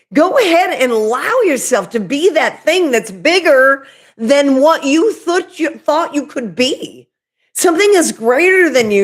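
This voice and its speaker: With a strong Oklahoma accent, a woman speaks at a moderate pace in a high pitch that makes very wide swings. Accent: Oklahoma accent, thick. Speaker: spiritual medium and YouTuber. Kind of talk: livestream spiritual talk. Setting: live video stream. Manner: casual, chatty.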